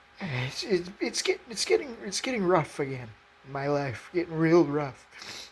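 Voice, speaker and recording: A woman's fairly low voice at a fairly slow pace, with very wide pitch swings over noticeable background noise. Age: 20s. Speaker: faith video creator. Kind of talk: emotional personal testimony. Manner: halting, repeated words.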